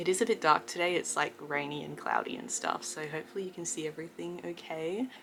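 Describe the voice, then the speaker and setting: A woman with a very deep, low voice talks at a fairly quick pace over noticeable background noise. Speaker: vlogger. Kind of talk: personal video update. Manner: casual, filler-heavy.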